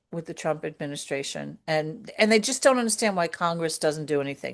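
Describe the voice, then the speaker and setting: Against a quiet background, a woman with a New York accent talks at a moderate pace with lively intonation. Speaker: podcast co-host. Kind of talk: casual chat. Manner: hesitant, many fillers.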